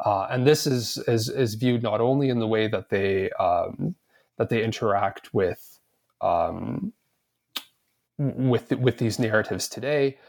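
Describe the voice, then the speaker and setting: In a Canadian accent, an ordinary speaking voice talks at a fairly slow pace with ordinary pitch variation and a dry, close sound with no echo. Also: man, medium pitch for a man. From Canada, Edmonton. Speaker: historian, author. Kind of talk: interview.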